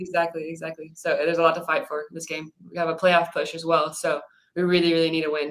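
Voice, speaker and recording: A woman talks at a very fast pace and a fairly low pitch, with monotone, flat intonation. Her loudness swings widely. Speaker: professional soccer center defender. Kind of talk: interview. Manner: quiet.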